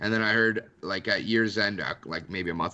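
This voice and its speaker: Talking at a fairly quick pace, a man with a fairly low pitch speaks with a slight Canadian accent. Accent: Canadian English, mild. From Canada. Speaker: sports writer. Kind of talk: casual chat.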